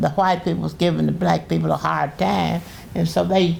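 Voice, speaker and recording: A woman speaks at a moderate pace. Noticeable background noise runs through the clip. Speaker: great-grandmother, retired pastor. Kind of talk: oral history interview. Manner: halting.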